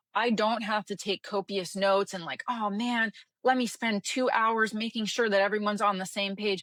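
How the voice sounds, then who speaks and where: In a dry, close sound with no echo, a woman speaks with a fairly high pitch and monotone, flat intonation. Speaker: business consultant and coach. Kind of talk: podcast interview. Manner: fast.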